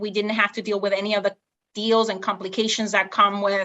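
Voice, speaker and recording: A woman speaks with a Spanish accent. Her intonation stays flat and monotone. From Honduras. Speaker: real estate investor. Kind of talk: interview.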